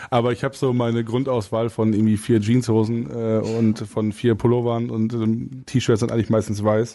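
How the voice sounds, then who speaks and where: Against a quiet background, a man with a dark, mellow tone and a medium pitch talks at a moderate pace in a monotone, flat intonation, with very even loudness and hardly any pauses. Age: 20s. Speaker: singer-songwriter. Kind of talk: casual interview chat. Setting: musicians' studio.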